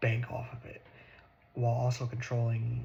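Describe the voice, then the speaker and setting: A man is soft-spoken. He talks at a moderate pace. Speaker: ASMR creator. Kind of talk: ASMR political talk.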